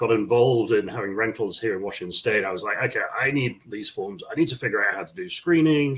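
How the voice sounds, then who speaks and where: Somewhat breathy and at a fairly quick pace, a man speaks at medium pitch with lively intonation. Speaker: landlord, housing association board member. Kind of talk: casual interview chat.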